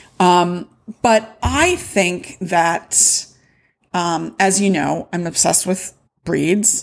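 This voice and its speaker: This woman's voice sits at a fairly low pitch. It carries vocal fry. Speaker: podcast host and wool shop owner. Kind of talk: casual solo podcast talk. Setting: home recording with noisy cats. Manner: animated.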